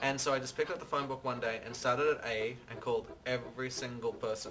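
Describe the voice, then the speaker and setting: Speaking very fast with an Australian accent, a man keeps a medium pitch and fairly even intonation over music in the background. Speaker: interior designer. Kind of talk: interview.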